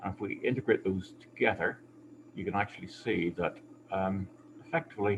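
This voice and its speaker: A man's somewhat breathy, fairly low voice at a moderate pace, with ordinary pitch variation. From UK, Belfast. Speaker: hydrologist and environmental scientist. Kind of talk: conference presentation.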